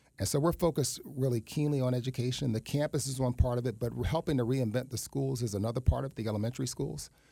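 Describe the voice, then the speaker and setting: Talking very fast with hardly any pauses, a man with an American accent uses a medium-pitched, somewhat breathy, dark, mellow voice with ordinary pitch variation. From New York City, East Harlem. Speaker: nonprofit executive director. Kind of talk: radio interview.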